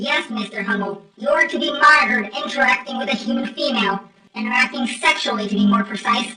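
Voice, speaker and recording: A female-sounding, put-on character voice pitched fairly high. She talks at a very fast pace. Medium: fan dub. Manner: formal, stiff, lofty.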